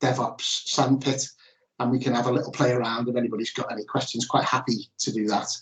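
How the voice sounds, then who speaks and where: A somewhat breathy man with a Liverpool accent, fairly even intonation, and a quiet background. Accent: Liverpool (Scouse), noticeable. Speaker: ERP consultant presenting at a workshop; webinar presenter. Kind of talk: presentation. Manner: hesitant with fillers and restarts. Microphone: video call.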